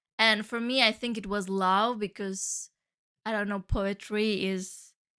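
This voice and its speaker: Over a silent background in a very clean recording, a woman with a Turkish Cypriot accent speaks fairly slowly at a medium pitch, her tone bright and sharp and her intonation monotone and flat. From Cyprus, Turkish side. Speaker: podcast host, flutist and music teacher. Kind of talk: casual monologue podcast.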